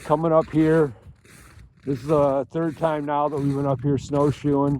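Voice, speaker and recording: A man with an American accent and fairly high pitch, monotone, flat intonation, a fairly slow pace, long, frequent pauses and noticeable background noise. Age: 60s. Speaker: outdoor vlogger. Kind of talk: casual vlog narration. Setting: outdoors.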